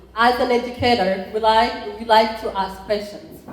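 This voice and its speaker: Amid noticeable background noise and audible room echo, a woman speaks with a fairly high pitch at a fairly slow pace. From Rwanda. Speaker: college entrepreneurship program chair. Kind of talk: conference talk.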